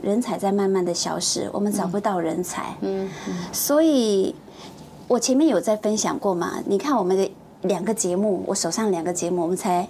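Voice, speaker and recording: A woman talks at a moderate pace in a medium pitch, with lively intonation and a plain, everyday voice. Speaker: TV producer. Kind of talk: casual chat. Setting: studio.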